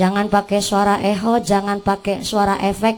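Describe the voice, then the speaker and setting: The speaker is a woman with a medium-pitched voice. Her intonation is monotone and flat. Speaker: female Islamic preacher. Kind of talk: humorous religious sermon.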